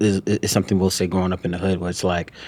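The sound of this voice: Very fast and low-pitched, a man talks with little pitch movement and a slightly mellow tone.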